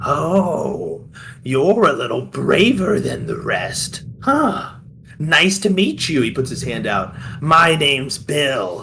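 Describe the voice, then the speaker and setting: A man puts on a character voice with a fairly high pitch, speaking at a very slow pace over clear background noise. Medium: actual play. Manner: theatrical, shifts from manic to mocking.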